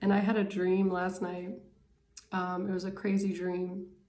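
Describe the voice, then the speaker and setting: Amid audible room echo, a woman speaks in a monotone, flat intonation at medium pitch and a fairly slow pace. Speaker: tarot reader. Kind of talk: casual tarot reading monologue. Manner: hesitant, many fillers.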